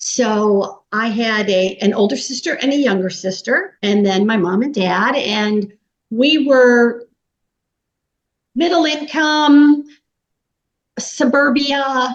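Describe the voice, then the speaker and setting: Pausing long and often, a woman with an American accent speaks at a very slow pace, her high pitch carrying lively intonation. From US, Pittsburgh, Pennsylvania. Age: 60s. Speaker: business coach. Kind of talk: interview, personal story.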